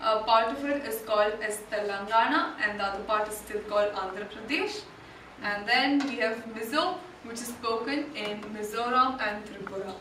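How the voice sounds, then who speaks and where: A woman with a Kannada accent, fairly high pitch and ordinary pitch variation, against noticeable background noise and audible room echo. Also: moderate pace. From India, Karnataka. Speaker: volunteer presenter. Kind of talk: presentation talk. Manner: hesitant, many fillers.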